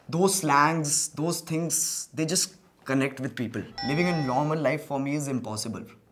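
A man talks at a moderate pace while music sounds in the background. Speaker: online video creator. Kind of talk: interview answer. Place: home room.

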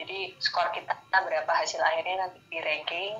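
A woman speaks at a moderate pace in a flat monotone, with faint music in the background. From Indonesia. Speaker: civil servant engineer; interviewee. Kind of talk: interview. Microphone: video call.

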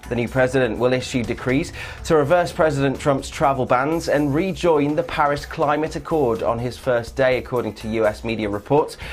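Faint music plays behind a man who speaks at a moderate pace and medium pitch with hardly any pauses. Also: ordinary pitch variation. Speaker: newsreader. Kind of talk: news reading.

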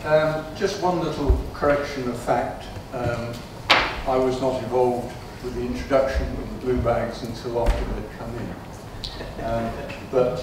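The speech moves at a fairly slow pace. Strong room echo and noticeable background noise are present. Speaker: council executive member. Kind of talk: council meeting debate. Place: hall.

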